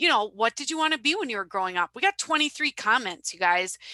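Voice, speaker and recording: A woman speaks with a Wisconsin accent. Her fairly high voice has a lively intonation. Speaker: social media business owner. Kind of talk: webinar presentation.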